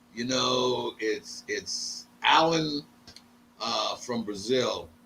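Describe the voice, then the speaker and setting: A man speaks very slowly while noticeable noise sits in the background. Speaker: combat sports event coordinator and former boxing manager. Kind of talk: podcast interview. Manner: animated.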